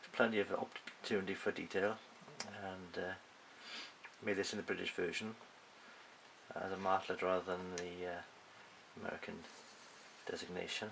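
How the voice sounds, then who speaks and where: Noticeable background noise sits under a man speaking with a Welsh accent in a very deep, low voice. His tone is relaxed and his intonation monotone and flat, at a moderate pace with long, frequent pauses. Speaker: scale model builder. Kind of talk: casual show and tell to camera. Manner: hesitant, relaxed, many filler sounds.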